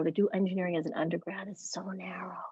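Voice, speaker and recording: The voice is somewhat breathy and quiet, with fairly even intonation. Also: woman. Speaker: parent. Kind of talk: consultation. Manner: quiet, lowered voice; hesitant, halting.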